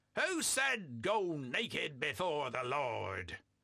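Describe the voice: A man performs in a put-on character voice.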